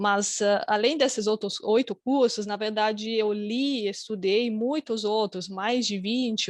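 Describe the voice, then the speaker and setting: A woman's fairly high voice at a fairly slow pace, fairly even in intonation, with a dry, close sound and no echo. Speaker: academic researcher, conference panelist. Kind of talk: conference presentation. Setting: online conference, video call. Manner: hesitant, many fillers.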